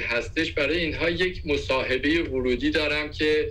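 A man's speech carries audible room echo, with noticeable background noise underneath. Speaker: career coach. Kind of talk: interview.

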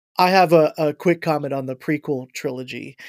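In a very clean recording with a silent background and a dry, close sound with no echo, a man with an American accent and a plain, everyday voice speaks at a fairly high pitch with fairly even intonation. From Ohio, US Midwest. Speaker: worship arts director. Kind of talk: casual chat.

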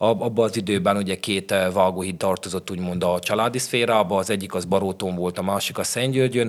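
A man speaks in a plain, everyday voice at a fairly low pitch. He goes at a fairly quick pace with fairly even intonation and hardly any pauses. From Szeklerland, Romania (Sepsiszentgyörgy). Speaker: chef and restaurant owner. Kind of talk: casual interview.

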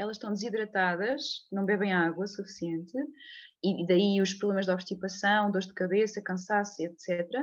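At a moderate pace, a woman of medium pitch speaks over a quiet background. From Portugal, Leiria area. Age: 30s. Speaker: physiotherapist. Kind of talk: interview conversation. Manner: halting, many repetitions and fillers.

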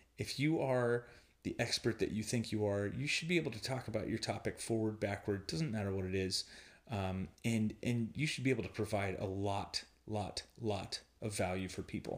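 The speaker is soft-spoken, at a moderate pace. Pitch varies in an ordinary way. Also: man, fairly low pitch for a man. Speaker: podcast host, online marketing. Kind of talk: casual solo monologue. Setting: friend's house while traveling. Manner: soft-spoken, quiet; hesitant, many fillers.

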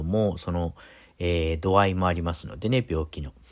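A man talks at a fairly quick pace in a very deep, low voice. The recording is very clean, with a silent background. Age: middle-aged. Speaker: podcast host. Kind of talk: casual monologue. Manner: halting, many fillers.

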